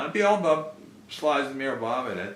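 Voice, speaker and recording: A man talking at a very fast pace with very wide pitch swings, plus audible room echo and noticeable background noise. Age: 60s. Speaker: spiritual follower, musician. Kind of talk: storytelling interview. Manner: halting, with many fillers.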